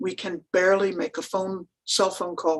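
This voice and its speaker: Speaking slowly-ish, a woman uses an ordinary speaking voice at fairly low pitch with fairly even intonation. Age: 60s. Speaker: rural pastor. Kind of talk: panel presentation. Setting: webinar.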